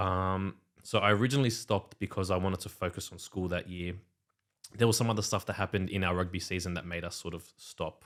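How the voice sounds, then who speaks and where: In an Australian accent, the speaker talks at a very fast pace in a very clean recording with a silent background. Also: man, very deep, low pitch for a man. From Western Sydney, Australia. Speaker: DJ and music producer. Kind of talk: casual podcast chat.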